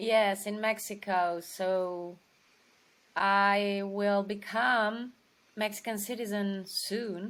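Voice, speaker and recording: In a Romanian accent, a woman at a medium pitch speaks at a very slow pace with monotone, flat intonation. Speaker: actress. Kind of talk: interview. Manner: halting.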